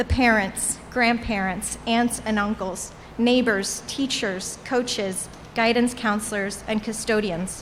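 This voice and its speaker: Her pitch fairly high, a woman speaks at a fairly slow pace with fairly even intonation. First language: Portuguese. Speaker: alumni commencement speaker. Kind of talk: commencement speech. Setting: graduation ceremony with audience.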